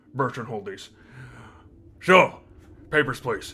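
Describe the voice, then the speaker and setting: In a put-on character voice, a man talks at a fairly slow pace with a medium pitch. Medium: actual play. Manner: curt, bureaucratic.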